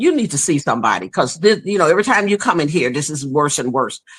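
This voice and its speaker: A woman's bright, sharp tone with vocal fry. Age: 60s. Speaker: guest sharing hair loss story. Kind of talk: personal testimony in conversation.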